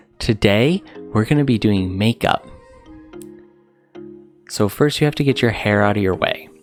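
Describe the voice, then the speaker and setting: A man's fairly low voice at a moderate pace, with long, frequent pauses, very even loudness and music in the background. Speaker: husband narrating his wife's makeup video. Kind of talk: comedic voiceover narration, casual and humorous. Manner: deadpan, sarcastic, improvised.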